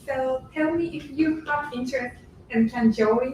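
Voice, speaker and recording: Speaking at a fairly slow pace in a Japanese accent, a woman uses a high voice with ordinary pitch variation. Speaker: intern, audience member. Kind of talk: short announcement from the floor.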